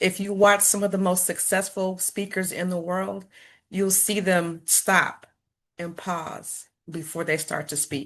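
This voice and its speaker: Against a quiet background, a woman with an American accent speaks fairly slowly at a medium pitch in a flat monotone. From US Midwest, Chicago. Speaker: former school principal and stuttering advocate. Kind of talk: talk to an online support group. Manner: repetitions and pauses.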